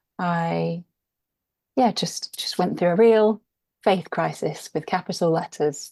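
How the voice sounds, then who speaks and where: Over a quiet background, a speaker with a dark, mellow tone and an English accent talks at a very slow pace, with ordinary pitch variation and long, frequent pauses. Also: woman, fairly low pitch for a woman. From England, London. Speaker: author and podcast guest. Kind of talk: interview conversation.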